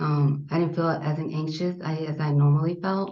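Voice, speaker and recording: A woman's very deep, low, somewhat breathy voice with an American accent, at a fairly quick pace in a monotone, flat delivery. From US Southwest, South Phoenix, Arizona. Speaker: army veteran. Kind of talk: interview.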